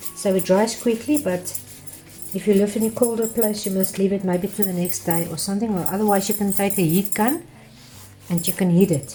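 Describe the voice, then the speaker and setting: Music plays in the background as a woman speaks at a medium pitch with ordinary pitch variation. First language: Afrikaans. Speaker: art teacher. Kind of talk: tutorial. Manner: halting.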